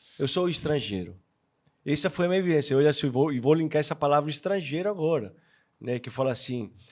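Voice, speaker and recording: The recording is very clean with a silent background, capturing a man with a Spanish accent, fairly high pitch and ordinary pitch variation. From Argentina. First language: Spanish (speaking Portuguese). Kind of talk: casual chat.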